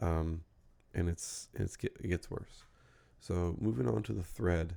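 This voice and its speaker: Quietly and at a fairly slow pace, a man speaks in a very deep, low voice with a dark, mellow tone and lively intonation. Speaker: commentary YouTuber. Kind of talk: casual commentary monologue. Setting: home at night. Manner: hesitant, many fillers.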